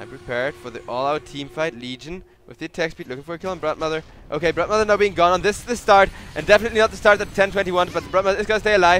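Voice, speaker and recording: A high-pitched man at a very fast pace, big swings in loudness and noticeable background noise. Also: ordinary pitch variation. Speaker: esports caster. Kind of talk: live commentary. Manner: animated.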